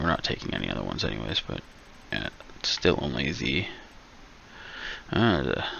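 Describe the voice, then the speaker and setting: A man mumbles at a fairly quick pace. Noticeable background noise can be heard. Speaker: gaming streamer. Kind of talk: casual gameplay chat. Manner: mumbling.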